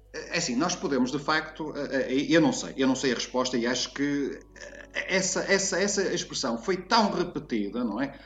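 Over noticeable background noise, a man speaks with a fairly high pitch and lively intonation. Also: moderate pace. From northern Portugal, Porto. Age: 50s. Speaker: writer and teacher on language expressions. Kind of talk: casual interview chat.

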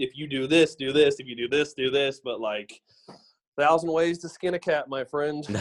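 Using an ordinary speaking voice with an American accent, a man speaks at a moderate pace, fairly high in pitch, with fairly even intonation. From US South, Memphis, Tennessee. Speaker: social media ad agency partner. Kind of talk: casual interview chat.

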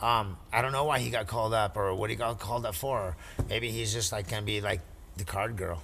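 Amid audible room echo, a man talks at a fairly quick pace with a fairly low pitch and ordinary pitch variation. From Canyon Lake area. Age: 40s. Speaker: cannabis industry worker. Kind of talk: casual chat.

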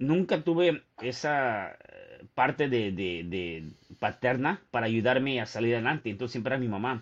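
At a moderate pace, a man speaks in an unremarkable speaking voice with a medium pitch and lively intonation. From Mexico City. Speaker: author and motivational speaker. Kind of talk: casual interview.

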